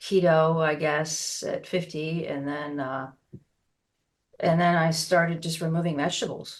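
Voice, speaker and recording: At a fairly slow pace, a woman with a fairly low pitch and fairly even intonation speaks in an unremarkable speaking voice. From United States. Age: 60s. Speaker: osteopath and naturopath. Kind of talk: interview.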